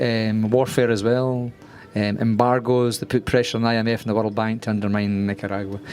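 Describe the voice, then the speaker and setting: A man's voice, monotone and flat in intonation, over noticeable background noise. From Scotland, Glasgow. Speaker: screenwriter. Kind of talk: masterclass talk. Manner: fast; hesitant, many fillers.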